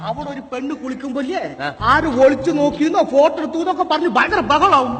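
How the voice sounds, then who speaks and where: Over noticeable background noise, a man with a Palakkad accent speaks at an extremely high pitch, with ordinary pitch variation and big swings in loudness. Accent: Palakkad Malayalam. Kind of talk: regional slang.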